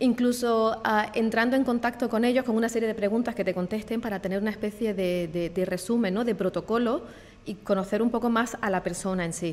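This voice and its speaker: A woman talks at a fairly quick pace. Her pitch is fairly high and her intonation fairly even. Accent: Andalusian. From Andalusia, southern Spain. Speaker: e-learning and digital marketing professional. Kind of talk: podcast interview. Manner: hesitant, with fillers.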